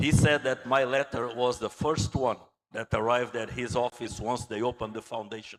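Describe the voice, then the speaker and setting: With a Portuguese accent, a man talks at a medium pitch with fairly even intonation. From Angola. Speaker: naval architect and engineer. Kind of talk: conference talk.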